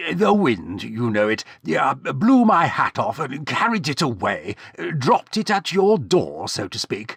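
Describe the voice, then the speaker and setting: A man puts on a character voice, pitched fairly high with very wide swings. He keeps a moderate pace, and the sound is dry and close with no echo. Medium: read story. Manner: awkward, hesitant.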